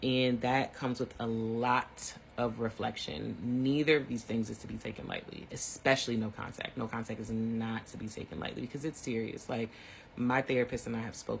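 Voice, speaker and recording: In a somewhat breathy voice, a man talks at a fairly quick pace and medium pitch with fairly even intonation. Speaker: teacher giving online mini lectures. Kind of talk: informal lecture. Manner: fast; casual, conversational.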